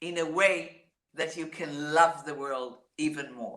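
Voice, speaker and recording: In a room with audible echo, a woman with an Israeli accent speaks at a very slow pace, her fairly low voice bright and sharp in tone. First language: Hebrew. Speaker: singer-songwriter. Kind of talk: interview.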